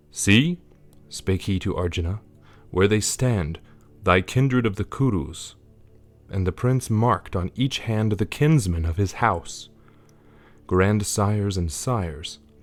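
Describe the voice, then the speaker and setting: Over background music, a man talks at a fairly slow pace with ordinary pitch variation and long, frequent pauses. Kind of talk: audiobook-style scripture reading.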